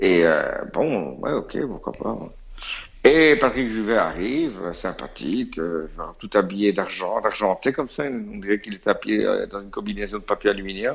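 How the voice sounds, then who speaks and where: A man speaks in a Belgian accent. His pace is fairly slow. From Belgium. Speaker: DJ and music industry insider. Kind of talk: casual storytelling chat.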